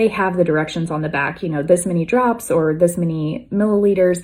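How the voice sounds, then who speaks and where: A woman's fairly low, dark, mellow voice with fairly even intonation, on a very clean recording with a silent background. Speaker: wellness vlogger. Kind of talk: casual talk to camera.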